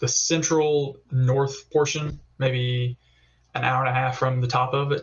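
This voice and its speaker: A man with a Southern US accent, somewhat breathy and medium in pitch, at a fairly slow pace with monotone, flat intonation. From US South, Alabama (Tuscaloosa). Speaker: competitive pistol shooter. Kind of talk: podcast interview. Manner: casual, many fillers.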